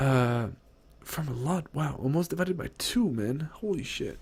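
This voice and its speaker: Somewhat breathy and animated in tone, a man with fairly high pitch speaks at a moderate pace. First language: not English. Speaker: gaming streamer. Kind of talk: game patch notes rundown on stream. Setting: livestream. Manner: animated, casual with many fillers.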